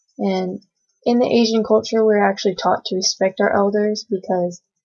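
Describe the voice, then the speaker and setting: This speaker has an American accent and fairly even intonation. The pace is moderate. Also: woman. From US. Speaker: student. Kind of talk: oral presentation. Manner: halting.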